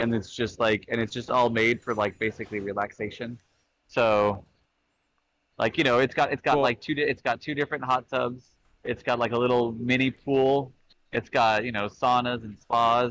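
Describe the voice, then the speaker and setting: The man has an American accent and a medium pitch. He talks at a moderate pace with fairly even intonation. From California. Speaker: comedy podcast co-host. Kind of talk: casual comedic banter. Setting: remote call from a cruise ship. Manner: halting.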